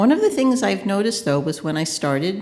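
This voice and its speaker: A woman's voice comes with audible room echo. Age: 60s. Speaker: consultant. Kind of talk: conference panel talk. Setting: conference panel with audience.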